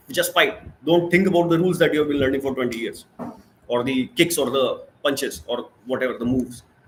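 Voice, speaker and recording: A man with a fairly high pitch and a somewhat breathy voice talks at a fairly quick pace with ordinary pitch variation. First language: not English. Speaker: spiritual self-help channel host. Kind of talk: live stream monologue. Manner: halting, many fillers and restarts.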